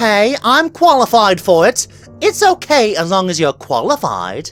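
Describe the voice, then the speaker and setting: Using a put-on character voice, a man sounds strained at a high pitch and a moderate pace, with faint music in the background. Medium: audio drama.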